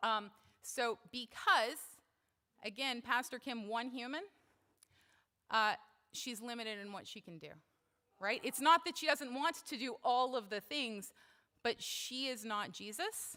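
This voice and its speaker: A woman's high, bright, sharp voice with lively intonation, big swings in loudness, a fairly slow pace and long, frequent pauses. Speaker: church member speaking at service. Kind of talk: talk at worship service. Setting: church service. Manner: casual, with fillers.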